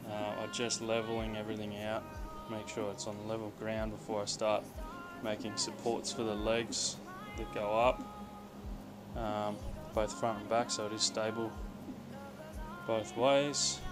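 A man speaks at a fairly slow pace with long, frequent pauses. Clear music plays in the background. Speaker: hobby fabricator. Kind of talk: casual DIY build vlog talk to camera. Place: garage. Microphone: phone near.

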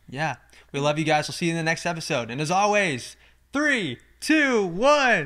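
A man speaks in a high pitch with a bright, sharp, animated tone. His pitch swings very widely against a quiet background. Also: moderate pace. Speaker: podcast co-host; podcast host. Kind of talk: casual chat. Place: home room. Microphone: studio mic.

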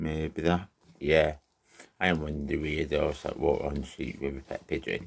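Monotone, flat intonation with vocal fry at a moderate pace. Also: man, very deep, low pitch for a man. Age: 30s. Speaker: vlogger. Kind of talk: casual vlog monologue. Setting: in a garden shed. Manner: halting, repetitive.

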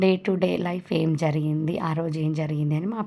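Very deep, low female voice with a dark, mellow tone and fairly even intonation, on a very clean recording with a silent background. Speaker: vlogger. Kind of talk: vlog narration.

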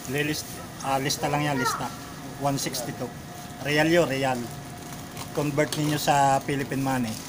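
With noticeable background noise behind him, a man speaks at a very slow pace, leaving long, frequent pauses. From Philippines. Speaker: overseas worker vlogger. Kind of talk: casual vlog narration. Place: shop. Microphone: phone near.

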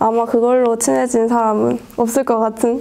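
A woman speaks at a high pitch over light background noise. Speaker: student reporter. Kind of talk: casual interview chat. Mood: cheerful, laughing. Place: studio. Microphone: lapel.

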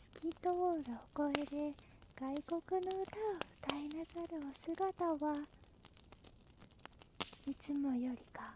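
Soft-spoken, the speaker proceeds at a very slow pace with long, frequent pauses. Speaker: storyteller. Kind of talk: bedtime story reading. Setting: campfire sounds and music in background. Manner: halting, stammering.

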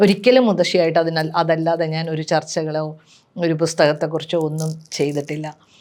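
In an ordinary speaking voice, a woman with a fairly low pitch talks with fairly even intonation. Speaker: writer. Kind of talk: personal reminiscence.

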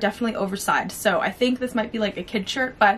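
Light background noise sits behind a woman speaking at a fairly quick pace. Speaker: fashion vlogger. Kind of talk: casual vlog chat. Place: home room.

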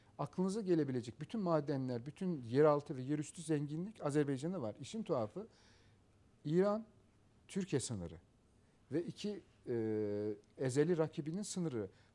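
A man's fairly high voice with a dark, mellow tone, lively intonation, a moderate pace and long, frequent pauses. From Azerbaijan, Karabakh; Azerbaijan. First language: Azerbaijani (speaking Turkish). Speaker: professor. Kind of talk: interview. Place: studio. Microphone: lapel.

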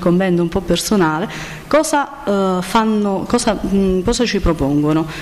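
Delivered at a moderate pace, this is a plain, everyday voice with lively intonation. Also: woman. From Campania, province of Salerno. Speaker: nutritionist. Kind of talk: conference talk. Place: hall. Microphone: podium.

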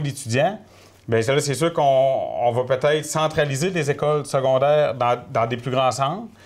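A man talks at a moderate pace in a fairly high pitch. He has a normal speaking voice with ordinary pitch variation. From Quebec, Gaspésie (Mont-Louis); Quebec. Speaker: political candidate, former mayor, forestry technician; candidate, former mayor. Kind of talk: interview. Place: studio.

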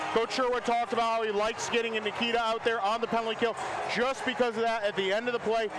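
Noticeable background noise sits behind a man speaking at a very fast pace. His pitch is extremely high, and his intonation is monotone and flat. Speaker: hockey color analyst. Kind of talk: color commentary. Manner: conversational, analytical, explaining plays with casual asides.

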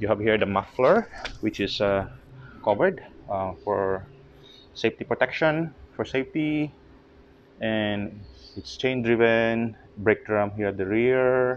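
A man speaking at a fairly slow pace with long, frequent pauses and ordinary pitch variation, over light background noise. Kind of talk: casual walkthrough commentary. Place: garage. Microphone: phone near.

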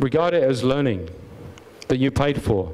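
A man talks in an English accent. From England. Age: 50s. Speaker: business owner. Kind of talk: conference talk. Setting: stage with audience. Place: hall. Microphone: handheld.

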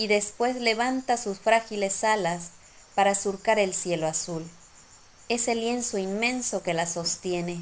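A woman's gentle, fairly slow voice with ordinary pitch variation. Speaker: poet. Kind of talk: poetry reading, spoken word. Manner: slow, gentle, contemplative, lyrical; soft-spoken, wistful and nostalgic. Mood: calm, lyrical. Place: home room. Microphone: phone near.

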